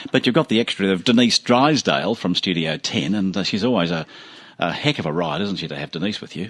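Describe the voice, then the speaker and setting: With an Australian accent, a man speaks very fast in a very deep, low pitch and lively intonation. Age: 70s. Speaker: radio host. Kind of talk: radio interview.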